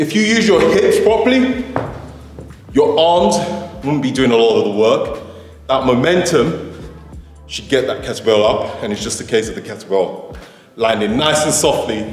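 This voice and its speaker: A man talks at a moderate pace, leaving long, frequent pauses. Audible room echo surrounds him, and faint music plays in the background. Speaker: fitness trainer. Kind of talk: tutorial. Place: gym.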